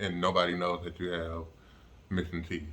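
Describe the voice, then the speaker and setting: The man talks at a moderate pace. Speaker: vlogger recovering from jaw surgery. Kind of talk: casual vlog update. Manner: halting, many fillers.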